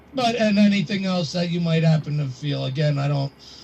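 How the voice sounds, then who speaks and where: Amid noticeable background noise, a man speaks with lively intonation. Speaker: radio host calling in. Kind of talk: call-in to psychic reading. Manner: halting.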